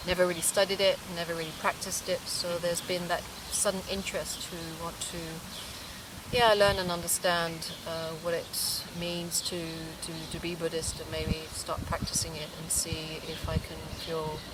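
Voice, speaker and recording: Noticeable background noise and audible room echo surround a woman speaking at a moderate pace, her fairly low pitch held in a monotone, flat intonation. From England and Japan. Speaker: documentary interviewee. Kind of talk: interview. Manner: halting.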